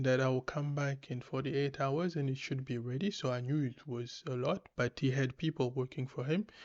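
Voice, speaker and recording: Against a quiet background, a man talks at a moderate pace in a fairly high pitch with ordinary pitch variation. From DR Congo. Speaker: podcast host. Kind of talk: casual commentary. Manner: hesitant, many fillers.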